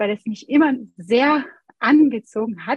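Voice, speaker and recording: The sound is dry and close with no echo. A woman speaks in a high voice with ordinary pitch variation. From France. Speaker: Montessori educator and pianist. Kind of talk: interview.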